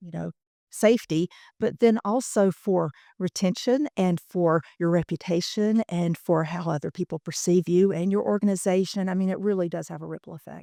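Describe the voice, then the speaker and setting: A woman's medium-pitched voice in a Southern US accent, dark and mellow in tone, at a moderate pace with ordinary pitch variation and big swings in loudness, dry and close with no echo on a very clean recording with a silent background. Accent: Southern US accent, still present. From US Deep South. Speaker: workforce training program manager. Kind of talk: podcast interview. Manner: hesitant, many fillers.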